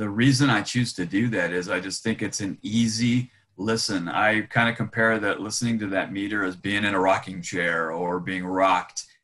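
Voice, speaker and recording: A man with an unremarkable speaking voice, a fairly low pitch, fairly even intonation, a moderate pace and hardly any pauses. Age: 60s. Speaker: charity volunteer and retired nonprofit worker. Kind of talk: interview.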